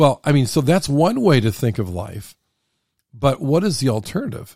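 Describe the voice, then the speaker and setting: A man with an American accent and a fairly high pitch speaks at a moderate pace in a dark, mellow, somewhat breathy tone with very wide pitch swings. The recording is very clean with a silent background. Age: 60s. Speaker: podcast host. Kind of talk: casual chat. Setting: studio.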